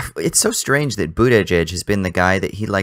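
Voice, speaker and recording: A man with an American accent, fairly low in pitch, lively intonation at a moderate pace, dry and close with no echo, very clean recording and silent background. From Southern California. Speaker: podcast co-host. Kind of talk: casual chat.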